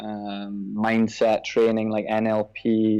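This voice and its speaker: Against a quiet background, a man with a Scottish accent speaks at a fairly low pitch in a dark, mellow tone with monotone, flat intonation. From Scotland. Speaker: personal trainer. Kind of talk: podcast interview.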